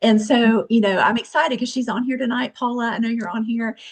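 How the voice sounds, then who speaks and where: Her voice somewhat breathy, a woman speaks at a fairly high pitch. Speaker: direct sales team member. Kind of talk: testimony. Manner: fast; animated.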